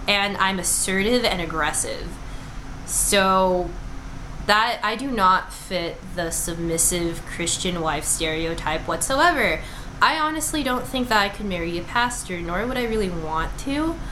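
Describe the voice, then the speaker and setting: A woman talks at a fairly slow pace with lively intonation. Noticeable background noise and audible room echo fill the recording. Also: medium pitch for a woman. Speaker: vlogger and nursing student. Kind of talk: casual vlog monologue. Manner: loud; chatty with many fillers.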